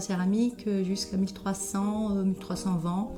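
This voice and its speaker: Music plays in the background as a woman with a slight Brazilian accent speaks fairly slowly at medium pitch. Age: 40s. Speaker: ceramicist. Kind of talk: interview. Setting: ceramics workshop. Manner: hesitant, many filler sounds.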